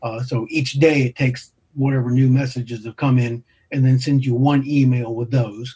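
A man at medium pitch speaks in a flat monotone at a moderate pace, his tone dark and mellow and somewhat breathy. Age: 60s. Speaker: amateur astronomer and music educator. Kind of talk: interview.

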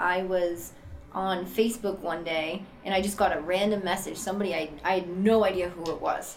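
Through audible room echo and noticeable background noise, a woman with an American accent speaks at a moderate pace in a medium pitch with fairly even intonation. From Boston, Massachusetts. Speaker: person in addiction recovery. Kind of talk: personal testimony. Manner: casual, many fillers.

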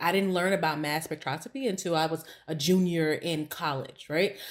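A woman speaks with an American accent in a plain, everyday voice. Her pitch is fairly low, with ordinary variation, at a moderate pace. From US Midwest, East St. Louis, Illinois. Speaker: science teacher. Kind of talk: casual chat.

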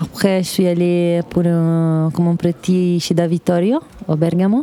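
With an Italian accent, a woman speaks in a flat monotone at a fairly low pitch, with noticeable background noise. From northern Italy, Dolomites. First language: Italian (speaking French). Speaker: chef. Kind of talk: interview. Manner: halting.

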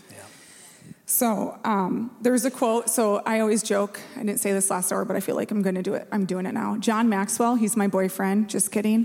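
A woman's fairly high, flat, monotone voice with an Upper Midwest accent, over noticeable background noise. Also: moderate pace. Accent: Upper Midwest (Minnesota). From Minnesota. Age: 40s. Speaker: church staff. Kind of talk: sermon. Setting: church.

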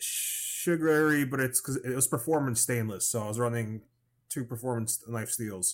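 A man with an American accent and an unremarkable speaking voice talks at a medium pitch with ordinary pitch variation. The recording is very clean, with a silent background. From New York. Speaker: podcast co-host, knife maker. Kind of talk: casual chat. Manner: fast, stumbling.

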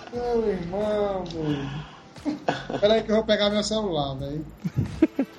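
The man's voice is high, with lively intonation at a very slow pace. Background noise is noticeable. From Brazil, Ceará. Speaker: podcast co-host. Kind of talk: casual chat.

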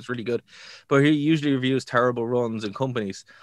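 A man speaks at a very fast pace in a Dublin accent. The recording is very clean, with a silent background. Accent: Irish (Dublin). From Ireland. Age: 30s. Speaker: wrestling podcast co-host. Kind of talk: casual chat.

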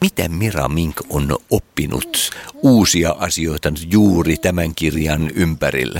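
Speaking at a very slow pace, a man has a very deep, low voice with ordinary pitch variation. The sound is dry and close with no echo, though there is noticeable background noise. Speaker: interviewer. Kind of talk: casual interview.

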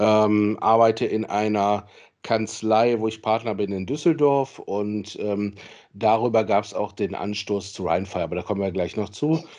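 A man with a plain, everyday voice speaks at a moderate pace in a fairly low pitch with ordinary pitch variation over a quiet background. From Solingen, western Germany. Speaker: football club general manager and lawyer. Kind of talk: interview.

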